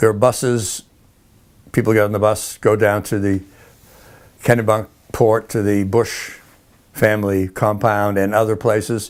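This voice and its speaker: Monotone, flat speech with an American accent at a moderate pace, broken by long, frequent pauses, on a very clean recording with a silent background. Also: man, fairly low pitch for a man. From New England (Boston). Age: 80s+. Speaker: interviewee, elderly filmmaker. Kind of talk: interview. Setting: at home, filmed. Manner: halting.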